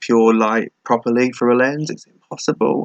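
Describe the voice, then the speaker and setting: In an English accent, a man talks at a moderate pace and medium pitch with monotone, flat intonation, the sound dry and close with no echo. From England. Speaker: vlogger. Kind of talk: casual chat. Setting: laptop webcam recording at home. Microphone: laptop webcam mic.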